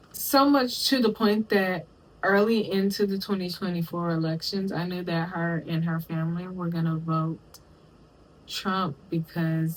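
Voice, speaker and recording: A woman with an American accent speaks at a moderate pace and a medium pitch. Her voice is somewhat breathy, with ordinary pitch variation. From Texas, US South. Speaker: commentary YouTuber. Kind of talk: video essay commentary. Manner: casual, conversational.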